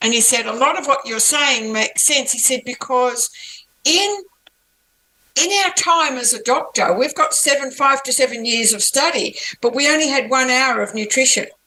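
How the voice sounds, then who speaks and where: A woman uses a raised, projected voice with a high pitch. She talks at a moderate pace with ordinary pitch variation. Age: 70s. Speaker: author and natural health advocate. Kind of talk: interview.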